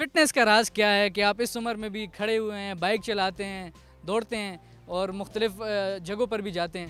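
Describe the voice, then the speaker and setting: A high-pitched male voice with fairly even intonation and big swings in loudness, music in the background. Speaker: TV anchor. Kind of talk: interview questions.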